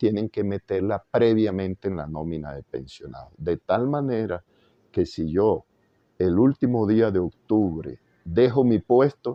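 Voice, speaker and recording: Fairly low in pitch and fairly slow, a man speaks with lively intonation. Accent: Caribbean Colombian. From Valledupar, Colombian Caribbean. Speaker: jurist, former constitutional court magistrate. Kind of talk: interview answer.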